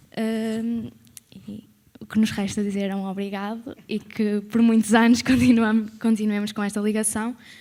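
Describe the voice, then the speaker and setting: A woman's fairly high voice with a dark, mellow tone, monotone and flat, at a fairly slow pace, with big swings in loudness. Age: 20s. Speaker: former student, accountant. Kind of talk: testimony at event.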